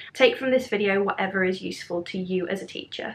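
A woman speaks with a British accent at a fairly quick pace. Her pitch varies in an ordinary way. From UK. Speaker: primary school teacher, education vlogger. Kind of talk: tutorial. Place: home room.

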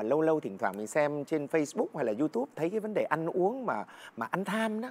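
A man speaks at a fairly quick pace. His pitch is fairly high. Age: 50s. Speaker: singer; talk show guest. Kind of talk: casual chat. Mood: earnest, explanatory. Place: studio.

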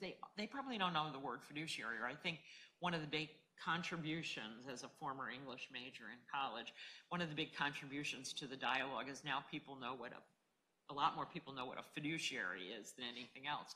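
A woman at an extremely low pitch, fairly quick pace, ordinary pitch variation, and a bright, sharp tone

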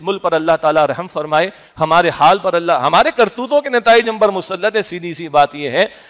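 Intonation is lively as a man talks at a moderate pace. Little else can be heard, as the background is quiet. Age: 50s. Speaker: preacher. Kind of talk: sermon. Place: hall. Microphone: headset.

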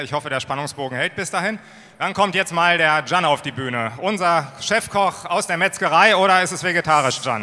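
At a moderate pace, a man talks in a bright, sharp tone with ordinary pitch variation. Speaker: party staff presenter. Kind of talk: stage presentation. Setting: stage with audience. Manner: casual, improvising. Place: hall. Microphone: handheld.

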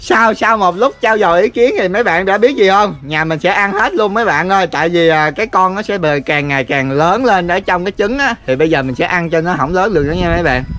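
Here a man talks at a fairly quick pace with a high pitch. His tone is bright and sharp. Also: lively intonation, hardly any pauses. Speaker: vlogger. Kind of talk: casual vlog chat. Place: garden. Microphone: phone near.

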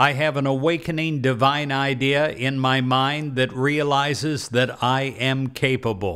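A man with a bright, sharp, calm tone, fairly even intonation, very even loudness, a fairly slow pace with hardly any pauses, and a quiet background. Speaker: meditation leader. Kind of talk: guided prayer meditation. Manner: calm, slow, reassuring; earnest, affirming, with pauses for silence. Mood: calm, warm, earnest. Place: studio. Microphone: studio mic.

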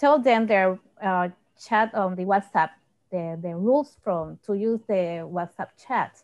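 In a quiet background, a woman talks at a very slow pace with ordinary pitch variation. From Puerto Rico. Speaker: high school science teacher. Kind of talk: panel discussion. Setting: video call. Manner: halting. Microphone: earbuds.

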